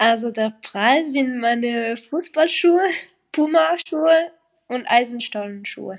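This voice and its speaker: A high-pitched woman's voice with lively intonation at a very slow pace. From French-speaking Switzerland. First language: French (speaking German). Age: young. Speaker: professional footballer. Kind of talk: casual interview.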